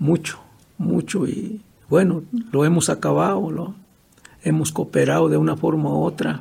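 Fairly slow male speech broken by long, frequent pauses. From Michoacán, Mexico (Purépecha region). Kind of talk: interview. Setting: at his home.

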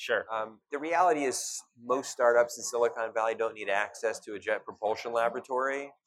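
A man with an American accent and an ordinary speaking voice talks at medium pitch and a fairly quick pace, with ordinary pitch variation and hardly any pauses. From US Midwest, Cleveland, Ohio. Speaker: startup ecosystem investor. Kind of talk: interview. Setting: live at a startup expo.

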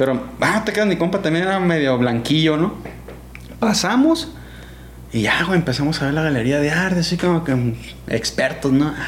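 With lively intonation and very even loudness, a man speaks at a fairly high pitch, leaving long, frequent pauses. Noticeable background noise and audible room echo fill the recording. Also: moderate pace. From Sinaloa, Mexico (Guamúchil). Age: 30s. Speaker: skateboarder. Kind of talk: casual chat.

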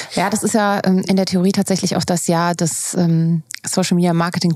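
An ordinary speaking voice moves at a fairly slow pace with fairly even intonation, and the sound is dry and close with no echo. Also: woman. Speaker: podcast host. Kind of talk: interview with host intro.

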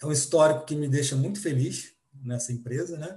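A man talks in a fairly high pitch, his voice somewhat breathy. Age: 40s. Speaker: supply analyst. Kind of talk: podcast panel discussion.

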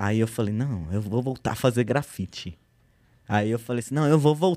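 A man's dark, mellow tone at a moderate pace, dry and close with no echo. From São Paulo, Zona Norte. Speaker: graffiti artist. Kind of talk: casual chat.

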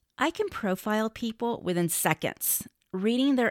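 A woman's normal speaking voice with lively intonation at a moderate pace, dry and close with no echo, on a very clean recording with a silent background. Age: 50s. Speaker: dating podcast host. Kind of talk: solo monologue.

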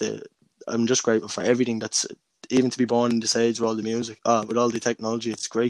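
With a Dublin accent, a man talks very fast in a medium pitch and a monotone, flat intonation. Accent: Dublin Irish. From Dublin, Ireland (Crumlin). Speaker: independent musician and rapper. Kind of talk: casual interview.

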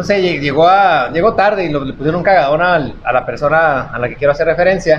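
A man's fairly high voice at a fairly quick pace with hardly any pauses, over noticeable background noise. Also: ordinary pitch variation. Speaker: comedy podcast co-host. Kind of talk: casual chat. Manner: animated.

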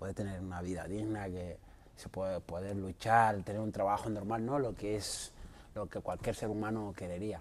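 In a dark, mellow tone, a man speaks at a moderate pace, his fairly low pitch moving in fairly even intonation. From Mauritania. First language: not Spanish (speaking Spanish). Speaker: martial arts fighter. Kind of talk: interview.

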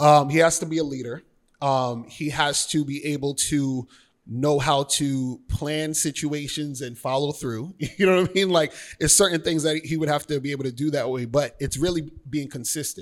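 A man with a plain, everyday voice, fairly high in pitch, at a moderate pace with fairly even intonation, in a very clean recording with a silent background. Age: 40s. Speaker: dating and life coach. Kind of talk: casual interview chat.

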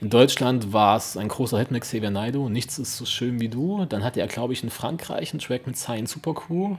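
Using a normal speaking voice, a man talks at a medium pitch and a fairly quick pace with hardly any pauses. His intonation is lively. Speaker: podcast co-host. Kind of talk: casual chat.

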